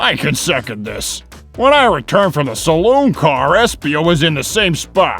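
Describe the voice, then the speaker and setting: A man puts on a character voice with a fairly high pitch and very wide pitch swings, at a moderate pace, with clear music in the background. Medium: fan dub. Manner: blunt, gruff.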